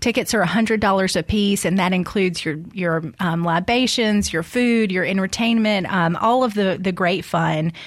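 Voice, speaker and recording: A woman's plain, everyday voice at medium pitch, moderate pace, very even loudness and ordinary pitch variation. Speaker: guest. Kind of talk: casual chat.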